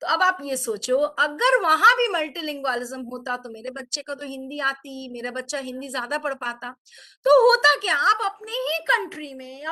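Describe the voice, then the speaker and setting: Raising and projecting her voice, a woman speaks at a fairly slow pace in a bright, sharp tone with a high pitch that swings very widely. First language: Bengali. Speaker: teacher trainer. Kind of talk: online teacher training talk, mixed English and Hindi. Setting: video call webinar.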